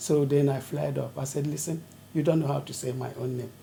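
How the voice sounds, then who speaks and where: A woman speaks with an African accent. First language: African language. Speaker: retired nurse. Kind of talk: oral history interview.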